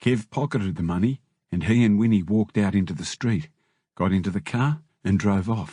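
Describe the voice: Against a quiet background, the speaker does plain reading aloud with ordinary pitch variation.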